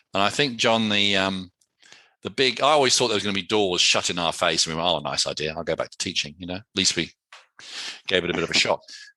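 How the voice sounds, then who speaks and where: Very fast and with big swings in loudness, a man with an English accent speaks at a very deep, low pitch in a bright, sharp tone with ordinary pitch variation. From England. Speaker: entrepreneur. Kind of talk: interview. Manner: casual, conversational.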